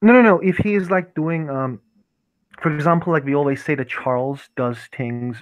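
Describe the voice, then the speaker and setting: A man speaks at a fairly high pitch and a moderate pace. His intonation is lively. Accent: non-native. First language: not English. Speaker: tabletop roleplay player. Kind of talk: tabletop roleplay session. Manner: halting, many fillers.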